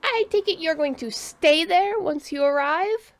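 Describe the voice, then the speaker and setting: A woman's put-on character voice at a moderate pace, its pitch extremely high. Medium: read story. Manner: crisp, authoritative.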